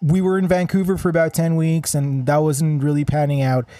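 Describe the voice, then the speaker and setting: This man has a fairly high pitch and a dark, mellow tone. His pitch varies in an ordinary way. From Israel. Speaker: musician. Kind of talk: casual chat. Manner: halting.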